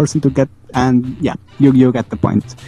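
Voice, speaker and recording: A man with a non-native accent speaks at a moderate pace. The sound is dry and close with no echo, though noticeable background noise comes through. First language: not English. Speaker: guest who requested the episode topic. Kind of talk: casual chat. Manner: tired, rambling.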